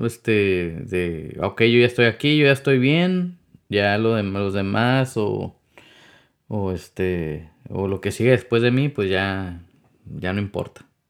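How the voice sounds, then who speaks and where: A man speaks at a very slow pace with fairly low pitch. His pitch variation is ordinary, and the recording is very clean, with a silent background. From Mexicali Valley, Baja California, Mexico. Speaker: podcast host. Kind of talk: casual chat. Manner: halting, many fillers.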